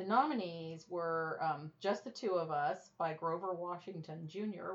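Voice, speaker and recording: A woman with an ordinary speaking voice, fairly low in pitch, at a fairly slow pace with hardly any pauses and ordinary pitch variation. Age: 20s. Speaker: podcast co-host. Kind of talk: casual chat.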